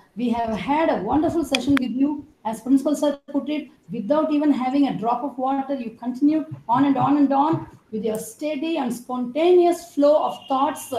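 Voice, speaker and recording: A woman with a high pitch and ordinary pitch variation speaks at a moderate pace amid light background noise and audible room echo. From India. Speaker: event emcee. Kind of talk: formal vote of thanks. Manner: formal. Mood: warm, grateful. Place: home room. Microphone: video call.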